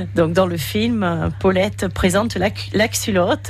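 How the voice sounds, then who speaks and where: A woman speaks with very wide pitch swings. Music plays in the background, and the room echo is audible. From Vendée, western France. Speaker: lingerie brand founder. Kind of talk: interview.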